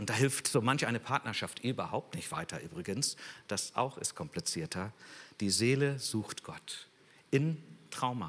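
A man with an unremarkable speaking voice and medium pitch talks at a fairly slow pace with lively intonation. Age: 60s. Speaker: guest preacher. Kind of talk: sermon.

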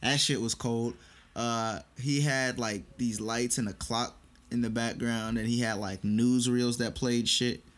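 Here is a man with an ordinary speaking voice, medium in pitch and fairly even in intonation. He goes at a fairly slow pace on a very clean recording with a silent background. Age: 20s. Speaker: college student podcast co-host. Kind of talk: casual chat.

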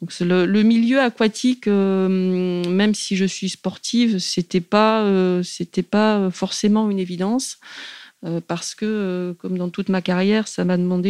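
Dry and close with no echo, a woman's dark, mellow voice sits at medium pitch with fairly even intonation. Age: 40s. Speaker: river police commander. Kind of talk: interview.

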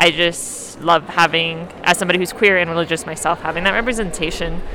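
Noticeable background noise is present. Over it, a woman speaks at a fairly low pitch. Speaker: podcast host. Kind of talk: casual chat. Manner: loud, screaming into the mic.

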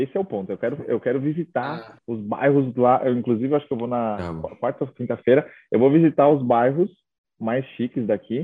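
The pitch varies in an ordinary way. The pace is fairly quick, and it is an ordinary speaking voice. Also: man, medium pitch for a man. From São Paulo state, Brazil (Itaquaquecetuba). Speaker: travel content creator. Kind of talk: casual interview chat.

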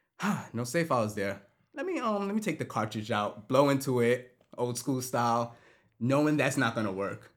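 With an unremarkable speaking voice, a man of medium pitch speaks at a moderate pace with lively intonation. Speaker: podcast host. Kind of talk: casual chat.

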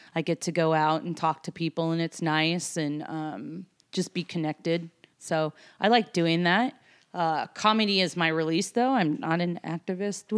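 Speaking in a normal speaking voice with an American accent, a woman uses a fairly low pitch, ordinary pitch variation and a moderate pace, on a very clean recording with a silent background and a dry, close sound with no echo. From Seattle and New York. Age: 40s. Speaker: tour manager. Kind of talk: casual chat.

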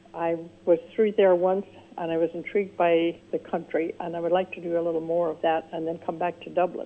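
Over noticeable background noise, a woman with a fairly low pitch talks at a moderate pace in a monotone, flat delivery. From Northern Ireland. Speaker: caller. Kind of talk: casual chat. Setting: phone call.

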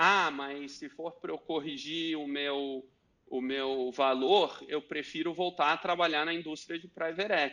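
Against a quiet background, a man with a fairly high pitch talks fairly slowly with fairly even intonation. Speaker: venture capital investor. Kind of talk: interview. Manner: halting.

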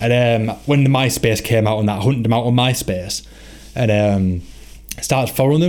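At a fairly quick pace, a man with a medium pitch and ordinary pitch variation speaks over noticeable background noise. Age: 20s. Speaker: podcast host and band member. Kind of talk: casual chat.

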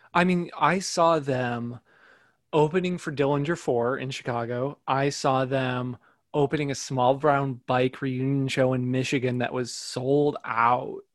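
With an American accent, a man speaks in an ordinary speaking voice at medium pitch, using fairly even intonation and a fairly slow pace. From US Midwest, northwest Indiana. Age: 30s. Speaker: music writer. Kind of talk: casual interview chat. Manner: filler-heavy, conversational.

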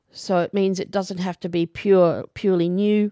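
An Australian-accented woman with a dark, mellow tone, in a dry, close sound with no echo and a very clean recording over a silent background. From Australia, Brisbane. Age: 40s. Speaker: podcaster and music student. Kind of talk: casual monologue. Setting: home recording into microphone. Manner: halting, many fillers.

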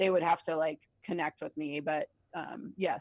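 An unremarkable speaking voice from a woman with an American accent, fairly low in pitch, at a moderate pace. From US South, Atlanta. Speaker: doctor and podcaster. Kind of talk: casual interview chat.

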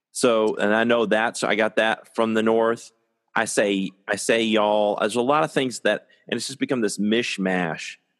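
Against a quiet background, a man with an American accent uses a normal speaking voice at medium pitch, moderate pace, and fairly even intonation. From Syracuse, New York. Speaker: podcast co-host. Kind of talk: casual chat.

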